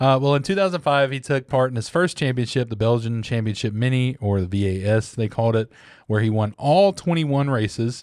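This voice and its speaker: A man talks fairly quickly in a Southern US accent. The recording is very clean, with a silent background. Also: medium pitch for a man, lively intonation. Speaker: podcast co-host. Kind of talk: casual chat. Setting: podcast recording.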